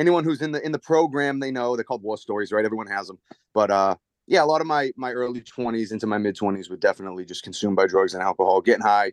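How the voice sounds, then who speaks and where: A man talks very fast with a Boston accent at a medium pitch. His intonation is lively, and the sound is dry and close with no echo. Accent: Boston-area Massachusetts. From Massachusetts, Merrimack Valley. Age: 30s. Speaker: window salesman and real estate investor. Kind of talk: casual chat.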